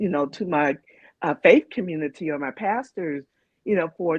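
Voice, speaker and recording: A normal speaking voice at a moderate pace, dry and close with no echo. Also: woman. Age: 60s. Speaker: panelist with lived experience. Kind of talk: panel discussion.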